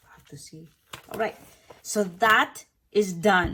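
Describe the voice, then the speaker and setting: At a moderate pace, a woman is talking. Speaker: YouTuber, photocard collector. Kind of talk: casual chat; unboxing tutorial. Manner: whispering.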